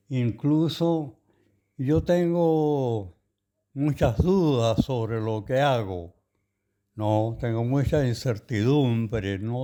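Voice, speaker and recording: A man speaks at a very slow pace in a medium pitch with ordinary pitch variation. His tone is dark and mellow. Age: 90s. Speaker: poet. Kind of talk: radio interview. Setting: at the guest's home. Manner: halting.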